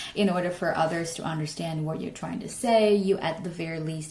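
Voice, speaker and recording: Female speech amid noticeable background noise and audible room echo. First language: Chinese. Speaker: English learning youtuber. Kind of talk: tutorial. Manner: halting with fillers.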